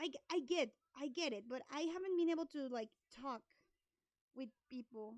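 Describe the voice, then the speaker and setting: A woman with a Spanish accent at a moderate pace, with ordinary pitch variation. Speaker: art streamer. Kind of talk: casual live stream chat. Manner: halting.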